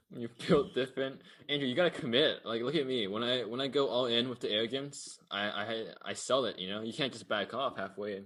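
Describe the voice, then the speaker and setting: With ordinary pitch variation and a medium pitch, this man talks at a fairly quick pace. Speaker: podcast co-host. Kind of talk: casual chat. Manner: fast.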